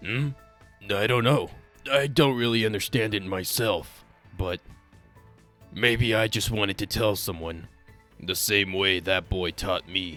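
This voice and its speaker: A man uses a put-on character voice at a fairly low pitch and a moderate pace. Long, frequent pauses break up his speech, with faint music in the background. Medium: dub.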